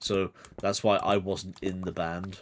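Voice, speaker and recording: On a very clean recording with a silent background, a man with a fairly low voice speaks in a British accent. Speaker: streamer. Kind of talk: casual chat. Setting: live stream.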